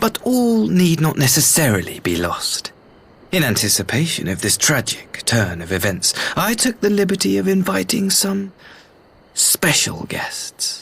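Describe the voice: A man does a put-on character voice at a fairly slow pace, fairly high in pitch with very wide pitch swings, a fairly bright tone and vocal fry.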